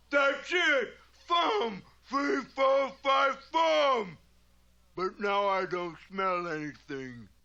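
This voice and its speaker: A cartoonish character voice shouts at a fairly high pitch. Delivery is very slow, with very wide pitch swings. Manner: blustering, confused.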